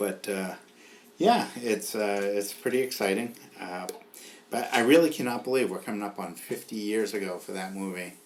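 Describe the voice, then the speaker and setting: Fairly low-pitched man with a Boston accent, plus noticeable background noise. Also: ordinary pitch variation, moderate pace. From New England (Boston area). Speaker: podcast host. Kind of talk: casual chat.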